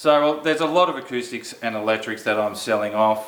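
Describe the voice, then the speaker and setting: In an Australian accent, a man speaks at a fairly quick pace with a medium pitch and ordinary pitch variation. There is audible room echo and noticeable background noise. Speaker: guitar reviewer, channel owner. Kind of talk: casual product review. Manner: casual, conversational.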